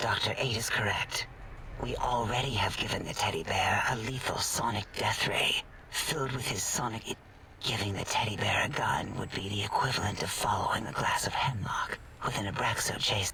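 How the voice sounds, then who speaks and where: A man whispers in a put-on character voice. His pace is moderate. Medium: machinima. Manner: odd, dreamy.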